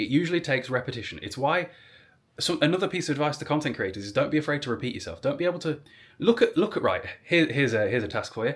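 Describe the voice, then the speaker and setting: A man talks very fast at a fairly high pitch, somewhat breathy, with lively intonation. The recording is very clean, the background silent. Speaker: social media content creator. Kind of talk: advice monologue vlog. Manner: rambling, conversational; articulate, engaging speaker.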